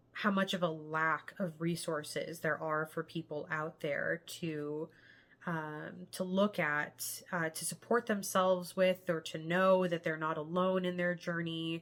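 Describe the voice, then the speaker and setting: At a fairly slow pace, a woman talks in a fairly low pitch with monotone, flat intonation. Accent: Californian. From San Diego, California. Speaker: vlogger sharing health journey. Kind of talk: personal vlog monologue. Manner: halting, with fillers.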